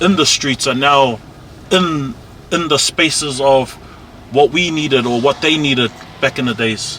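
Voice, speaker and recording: A man with a fairly high pitch and ordinary pitch variation is heard over noticeable background noise. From South Auckland, New Zealand. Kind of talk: casual neighbourhood tour talk.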